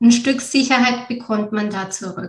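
Somewhat breathy, a woman speaks. Her intonation stays fairly even. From Bavaria, Germany. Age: 30s. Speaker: mother, former mentoring participant. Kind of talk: interview.

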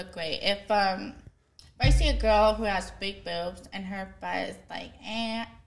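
A woman's medium-pitched voice with an American accent, vocal fry, and a monotone, flat intonation. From US, military family. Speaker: guest. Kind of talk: casual chat.

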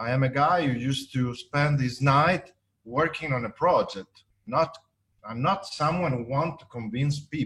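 The pitch varies in an ordinary way, and the pace is fairly slow. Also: man, fairly high pitch for a man. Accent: Italian. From Italy. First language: Italian. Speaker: architect and business developer. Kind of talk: interview. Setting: video call. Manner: halting, hesitant.

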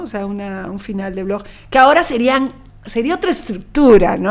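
A woman's fairly high voice at a fairly slow pace, with ordinary pitch variation and an unremarkable speaking voice. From Peru, Lima. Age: 40s. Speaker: poet. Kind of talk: interview.

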